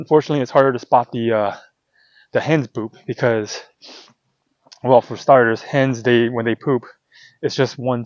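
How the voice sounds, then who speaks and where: A man at a moderate pace, intonation fairly even. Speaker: hunting vlogger. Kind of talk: outdoor tutorial vlog. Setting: outdoors. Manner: loud; casual, halting with fillers.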